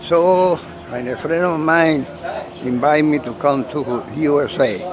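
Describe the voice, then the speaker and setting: A man with a fairly high voice and ordinary pitch variation speaks fairly slowly, with audible room echo and noticeable background noise. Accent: Colombian. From Colombia, Cali. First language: Spanish. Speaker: model sailboat club member. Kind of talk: casual interview. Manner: halting.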